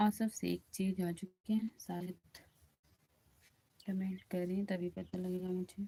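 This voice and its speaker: A woman speaks in a somewhat breathy, medium-pitched voice with a dark, mellow tone. Her intonation is monotone and flat, broken by long, frequent pauses. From Uttar Pradesh, India (Ayodhya). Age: 20s. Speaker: bhajan singer and live streamer. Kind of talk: casual live stream chat with viewers. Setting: live stream. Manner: repetitive, pleading.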